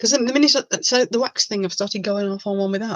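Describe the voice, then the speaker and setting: A woman with an English Midlands accent talks at a very fast pace with a medium pitch and ordinary pitch variation. The sound is dry and close, with no echo. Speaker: resin crafter and online seller. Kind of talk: live stream chat. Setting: home webcam live stream. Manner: animated.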